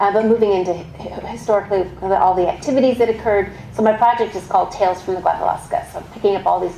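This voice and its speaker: A woman with an American accent talks with hardly any pauses, amid audible room echo and noticeable background noise. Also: medium pitch for a woman, ordinary pitch variation. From Texas. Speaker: archaeologist giving a history talk. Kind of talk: public lecture. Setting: museum talk with audience. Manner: fast; not always clearly enunciated.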